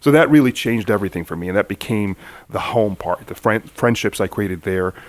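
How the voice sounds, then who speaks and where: With an American accent, a man talks at a very fast pace and a fairly low pitch with ordinary pitch variation. The sound is dry and close, with no echo. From Manchester, England, then Egypt, US from 15. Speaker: civil rights activist. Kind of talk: interview conversation.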